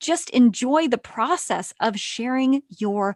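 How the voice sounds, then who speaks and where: A woman speaks at a very slow pace with lively intonation. The sound is dry and close with no echo, over a quiet background. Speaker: creation coach and author. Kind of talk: podcast interview.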